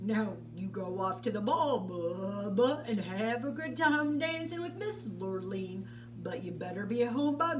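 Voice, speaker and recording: Through loud background noise, a put-on character voice speaks at a fairly slow pace. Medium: read story.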